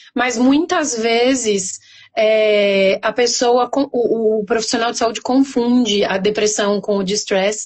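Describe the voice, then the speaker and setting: At a very slow pace, a woman with a São Paulo accent speaks in a fairly high pitch with ordinary pitch variation. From Brazil, São Paulo. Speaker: pharmacist. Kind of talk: interview.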